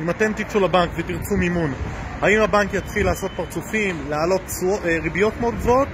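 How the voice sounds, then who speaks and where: A man talks very fast in a high voice with ordinary pitch variation, over noticeable background noise. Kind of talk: casual educational vlog talk. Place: street. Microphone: phone near.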